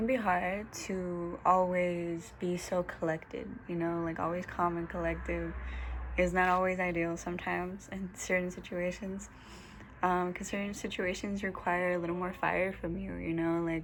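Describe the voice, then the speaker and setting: The recording carries audible room echo. A woman with a fairly low pitch talks at a moderate pace in a monotone, flat delivery. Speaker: holistic lifestyle vlogger. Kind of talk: casual vlog monologue. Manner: hesitant, many fillers.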